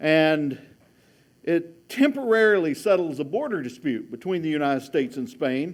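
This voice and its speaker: At a moderate pace, a man speaks in a fairly high pitch with lively intonation. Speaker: history professor. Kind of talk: lecture.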